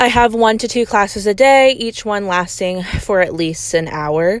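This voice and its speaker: A woman talks at a fairly slow pace with a medium pitch. Her pitch varies in an ordinary way. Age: 20s. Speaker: college student podcaster. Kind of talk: casual monologue. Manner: frequent ums, hesitant.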